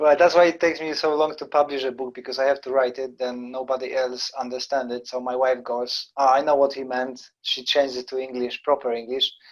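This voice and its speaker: Speaking at a fairly quick pace with hardly any pauses, a man with a non-native accent keeps his medium-pitched voice in a monotone, flat intonation. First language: not English. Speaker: karate instructor and podcast host. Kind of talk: casual chat.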